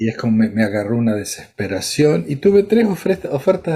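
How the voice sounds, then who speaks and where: Somewhat breathy and dark, mellow in tone, a man with an Argentine accent speaks with very wide pitch swings. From Argentina, Córdoba. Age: 70s. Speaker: psychiatrist. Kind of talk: interview.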